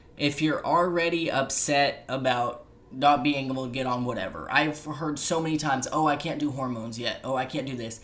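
Against noticeable background noise, a man speaks in a fairly high pitch with fairly even intonation and hardly any pauses. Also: fairly quick pace. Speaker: podcast host. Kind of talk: casual chat. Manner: filler-heavy, chatty.

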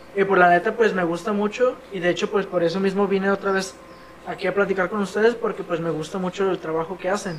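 Against noticeable background noise, a man with a high voice talks very fast with fairly even intonation. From Toluca, State of Mexico. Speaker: podcast host. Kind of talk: casual chat.

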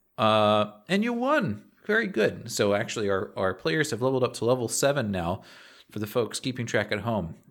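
This man has a normal speaking voice at a medium pitch with ordinary variation and a moderate pace. The recording is very clean, with a silent background. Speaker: tabletop game master and podcast host. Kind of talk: tabletop roleplaying game session.

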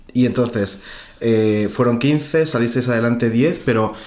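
At a fairly slow pace, a man uses an ordinary speaking voice at a medium pitch with ordinary pitch variation. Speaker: podcast host interviewing his grandmother. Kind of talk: casual chat.

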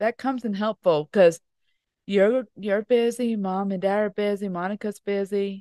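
A woman speaks in a normal speaking voice at medium pitch and a moderate pace, with fairly even intonation. The sound is dry and close, with no echo. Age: 30s. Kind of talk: casual chat. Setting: indoors by a fireplace at home.

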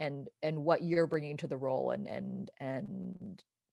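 A woman with an American accent speaks in a very deep, low pitch with vocal fry and ordinary pitch variation, her sound dry and close with no echo. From Southern California. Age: 40s. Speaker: actress. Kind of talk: casual interview chat.

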